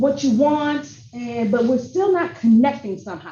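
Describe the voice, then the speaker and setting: A woman with an American accent talks at a moderate pace in a high, dark and mellow voice with lively intonation. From Michigan. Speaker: workshop presenter. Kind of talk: training workshop.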